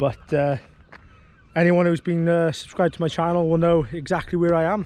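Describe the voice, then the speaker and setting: In a Welsh accent, a man with a high-pitched voice talks in a relaxed tone at a moderate pace. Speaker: angling vlogger. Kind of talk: casual vlog commentary. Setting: outdoors. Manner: relaxed, hesitant with fillers.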